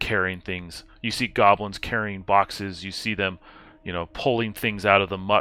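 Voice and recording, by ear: This is someone reading aloud. The voice stays natural throughout.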